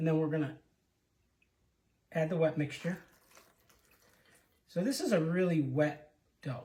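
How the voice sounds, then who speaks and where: Soft-spoken, a man with a fairly high pitch and a dark, mellow tone talks at a moderate pace, leaving long, frequent pauses. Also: ordinary pitch variation. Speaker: home cook. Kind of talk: cooking demonstration. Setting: home kitchen.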